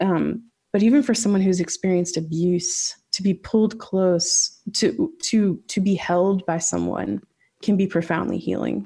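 Somewhat breathy and dark, mellow in tone, a woman speaks at a fairly slow pace with ordinary pitch variation and very even loudness. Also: medium pitch for a woman. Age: 30s. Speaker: author. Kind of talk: casual chat.

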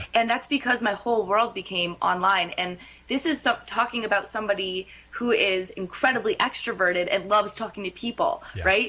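A woman's fairly high voice at a fairly quick pace, with ordinary pitch variation and noticeable background noise. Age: 20s. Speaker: political reporter. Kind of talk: phone interview on talk radio.

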